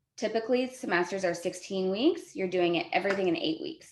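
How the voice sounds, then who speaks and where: In a room with audible echo, a woman talks at a very fast pace. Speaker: college instructor. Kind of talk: lecture.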